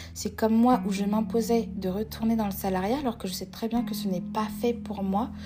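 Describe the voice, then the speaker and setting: A woman's medium-pitched voice, monotone and flat, at a moderate pace with hardly any pauses, over music in the background. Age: 20s. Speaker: podcast host. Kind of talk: solo podcast monologue.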